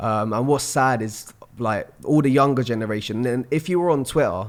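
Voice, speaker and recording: A man with a London accent, medium in pitch with ordinary variation, at a moderate pace. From London, England. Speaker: spoken word poet. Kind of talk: podcast interview answer.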